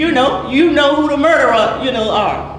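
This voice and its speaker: A woman with an Alabama accent speaks in a high, passionate voice. Audible room echo and noticeable background noise surround her. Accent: Southern US (Alabama). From US South. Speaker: grieving mother speaking at council meeting. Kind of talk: public comment at council meeting. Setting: city council meeting.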